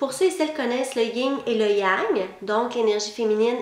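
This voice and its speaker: With a slight Québécois accent, a woman speaks at a high pitch with lively intonation, amid audible room echo and noticeable background noise. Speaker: psychic lecturer. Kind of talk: online lecture.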